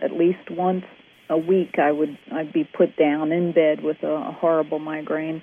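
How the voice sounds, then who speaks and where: Her pitch fairly low, a woman speaks at a moderate pace in a monotone, flat intonation. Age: 50s. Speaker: interview guest sharing health story. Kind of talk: testimony.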